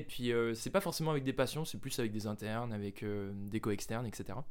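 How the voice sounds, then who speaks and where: With a plain, everyday voice, a man speaks at a moderate pace with lively intonation. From France, Jura. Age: 20s. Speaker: medical student. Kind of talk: casual chat.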